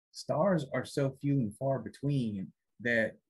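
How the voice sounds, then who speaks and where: The background is quiet. A man talks in a somewhat breathy voice. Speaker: podcast host. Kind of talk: casual podcast chat. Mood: amused, relaxed.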